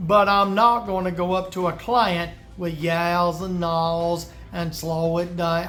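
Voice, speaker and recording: Fairly even in intonation, a man speaks in a Deep South accent with audible room echo. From US South. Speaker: woodworker giving business advice. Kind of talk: tutorial. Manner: casual, conversational.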